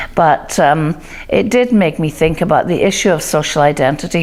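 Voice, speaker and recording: This speaker has a Scottish accent and a moderate pace. Pitch variation is ordinary. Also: woman. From Scotland. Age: 60s. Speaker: diversity and inclusion speaker. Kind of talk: talk to camera.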